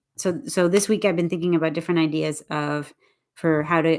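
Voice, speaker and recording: Talking at a fairly quick pace, a woman uses an unremarkable speaking voice at a fairly low pitch. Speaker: English teacher. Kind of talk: livestream chat. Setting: YouTube live stream.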